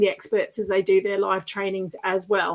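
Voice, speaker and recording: Speaking fairly quickly, a woman talks with an Australian accent. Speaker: podcast host and business coach. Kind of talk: interview podcast. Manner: animated.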